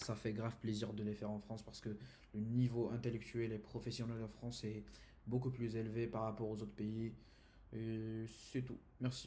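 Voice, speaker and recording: A man speaks at a moderate pace and medium pitch, somewhat breathy, with a dark, mellow tone and monotone, flat intonation. His long, frequent pauses sit in audible room echo. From Saudi Arabia. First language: Arabic (speaking French). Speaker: university student. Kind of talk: class presentation. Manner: halting, many hesitations.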